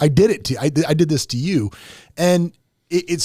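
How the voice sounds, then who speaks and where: A man speaks at a fairly quick clip with a dark, mellow tone and a somewhat breathy quality. His intonation is lively. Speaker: podcast host. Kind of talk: casual chat. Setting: studio. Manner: fast.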